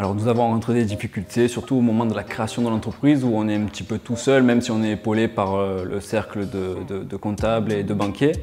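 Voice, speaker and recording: A man talks at a fairly quick pace and fairly low pitch, with hardly any pauses. His intonation is fairly even, and there is noticeable background noise. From Provence, southern France (Pertuis). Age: 30s. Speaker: chef and restaurant owner. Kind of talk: career interview testimony. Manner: hesitant, with fillers.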